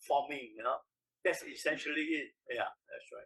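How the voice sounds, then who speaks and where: A man speaks with a Singaporean accent. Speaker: industrial engineer. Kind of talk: oral history interview answer.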